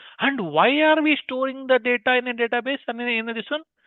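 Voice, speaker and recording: Here a man speaks with an Indian accent. His pace is very fast. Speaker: teacher. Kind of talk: live online class. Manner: interactive, questioning students.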